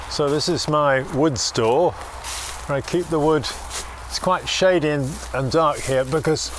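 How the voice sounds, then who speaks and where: Over noticeable background noise, a man with an English accent speaks fairly slowly at a fairly high pitch. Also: fairly even intonation. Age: 60s. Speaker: bagpipe maker. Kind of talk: documentary interview. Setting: workshop. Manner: hesitant, with fillers.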